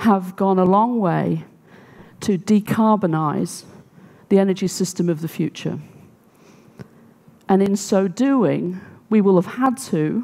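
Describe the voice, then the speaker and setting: A woman's dark, mellow voice at a fairly slow pace, with ordinary pitch variation, long, frequent pauses and a quiet background. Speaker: conference speaker. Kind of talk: talk to audience. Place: stage. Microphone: headset.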